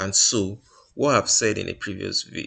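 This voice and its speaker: A male voice over a quiet background. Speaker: trader reviewing trades. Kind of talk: screen-share tutorial. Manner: fast; halting, many fillers and restarts.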